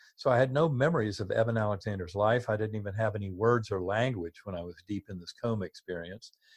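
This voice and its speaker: Somewhat breathy, a man speaks at a medium pitch with an American accent and ordinary pitch variation. The background is quiet. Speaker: neurosurgeon and author. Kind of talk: interview.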